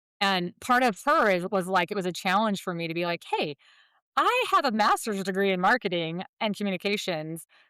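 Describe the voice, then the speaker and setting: A woman's animated, bright, sharp voice at medium pitch, with ordinary pitch variation and a fairly quick pace, dry and close with no echo on a very clean recording with a silent background. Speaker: title insurance sales executive. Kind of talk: podcast interview. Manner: fast.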